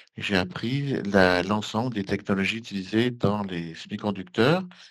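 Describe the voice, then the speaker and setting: A man's plain, everyday voice, fairly low-pitched, with ordinary pitch variation and a fairly slow pace over a quiet background. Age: 60s. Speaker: engineer and election candidate. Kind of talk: interview.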